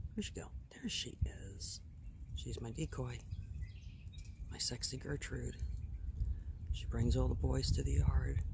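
Long pauses come often in this moderately paced speech, with noticeable noise in the background. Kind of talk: casual vlog chat. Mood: playful, joking. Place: open country. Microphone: phone near.

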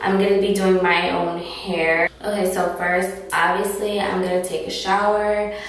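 Strong room echo surrounds a woman whose intonation is fairly even. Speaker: beauty vlogger. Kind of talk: casual vlog chat. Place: bathroom. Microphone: camera far.

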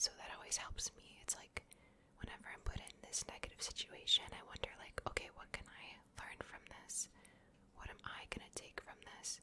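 A whispering woman at a moderate pace, gentle in tone, with big swings in loudness. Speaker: ASMR content creator. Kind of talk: ASMR personal talk with positive affirmations to camera. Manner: soft-spoken, gentle, reassuring. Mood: warm, reassuring. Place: home room. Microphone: studio mic.

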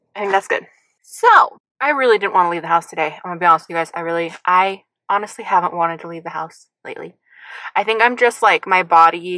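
Against a quiet background, a woman's voice carries ordinary pitch variation in a dry sound with no echo. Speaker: vlogger. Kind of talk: casual vlog chat. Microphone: phone near.

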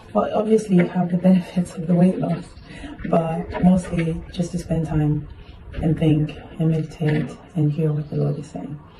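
There is noticeable background noise. A woman talks with fairly low pitch and fairly even intonation. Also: moderate pace. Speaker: vlogger. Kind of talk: casual video diary. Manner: casual, chatty.

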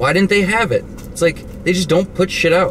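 A man is heard with a dry sound and no echo, plus noticeable background noise. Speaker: vlogger reviewing purchases. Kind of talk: casual vlog chat. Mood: joking, irreverent. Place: car. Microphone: phone near.

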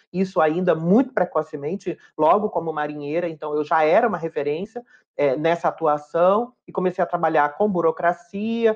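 A woman with a fairly low pitch speaks at a moderate pace with ordinary pitch variation against a quiet background. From Brazil, Fortaleza, Ceará. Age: 40s. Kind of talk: interview testimony. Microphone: webcam.

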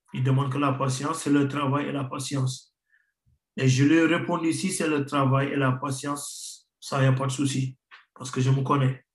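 A man with a fairly high pitch speaks slowly in a monotone, flat intonation, somewhat breathy. There is audible room echo against a quiet background. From Senegal, Rufisque; Senegal. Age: 30s. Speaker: professional footballer; guest. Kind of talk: interview. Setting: remote video link. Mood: calm, reflective. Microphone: video call.

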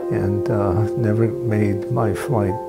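Over loud background music, a man speaks at a very slow pace. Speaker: cardiac arrest survivor. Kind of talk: interview answer. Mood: calm, reflective. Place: home room.

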